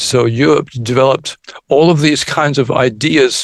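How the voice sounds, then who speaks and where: At a medium pitch for a man, this speaker shows vocal fry and ordinary pitch variation. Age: 70s. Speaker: electroacoustic music pioneer. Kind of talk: podcast interview. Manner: halting, with repeated words.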